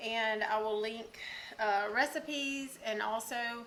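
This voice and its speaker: A Southern US accent, fairly even intonation and audible room echo. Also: woman. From US South. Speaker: cooking channel host. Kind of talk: cooking tutorial. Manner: casual, with many fillers (um, uh).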